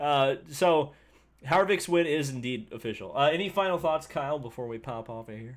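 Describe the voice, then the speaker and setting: Someone mumbles with an Indiana accent at a moderate pace. The intonation is lively, and the loudness swings widely. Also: man, fairly high pitch for a man. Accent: Hoosier (Indiana). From Indiana, US Midwest. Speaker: motorsport YouTuber. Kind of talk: live stream race review. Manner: mumbly, self-described mush mouth.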